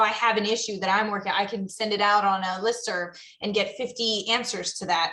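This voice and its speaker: The voice is loud, bright and sharp, moving at a moderate pace in a monotone, flat intonation. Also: woman. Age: young. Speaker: zoo professional, panelist. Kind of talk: panel discussion.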